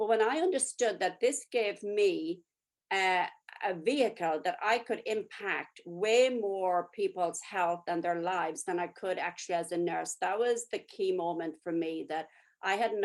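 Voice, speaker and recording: In a plain, everyday voice, a woman speaks at a moderate pace with a fairly low pitch and ordinary pitch variation over a quiet background. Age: 60s. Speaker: nurse and network marketer. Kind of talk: testimony.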